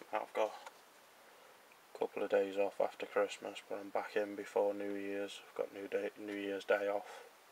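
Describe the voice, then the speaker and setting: A man speaks quietly with an English accent. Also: moderate pace. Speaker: hobbyist model builder. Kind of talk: casual tutorial-style build commentary.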